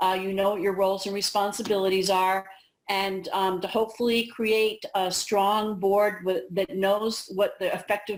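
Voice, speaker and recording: This woman has a plain, everyday voice at a medium pitch, speaking at a moderate pace with fairly even intonation and hardly any pauses. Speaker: school administrators' association director. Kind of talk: training presentation. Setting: video call played in a cafeteria. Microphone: on a hotspot, spotty internet, echoing.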